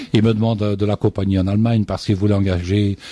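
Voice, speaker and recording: A man's fairly low, dark, mellow voice comes through with a dry, close sound and no echo. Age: 60s. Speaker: singer. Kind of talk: radio interview.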